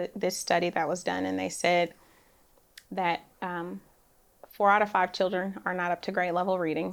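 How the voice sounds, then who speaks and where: A woman speaks in an ordinary speaking voice at medium pitch and a moderate pace, on a very clean recording with a silent background. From Oakland, California. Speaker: real estate developer. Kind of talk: interview. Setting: studio. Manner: soft-spoken.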